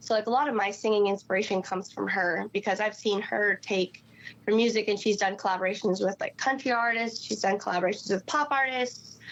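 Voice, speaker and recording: Very even loudness with fairly even intonation. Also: woman, medium pitch for a woman, fairly quick pace. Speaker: singer in a band. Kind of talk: casual interview chat.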